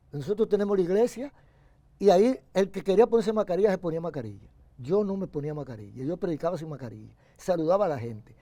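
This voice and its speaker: A man's high pitch with very wide pitch swings and a dark, mellow tone, at a very fast pace. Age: 80s+. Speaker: pastor. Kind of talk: interview.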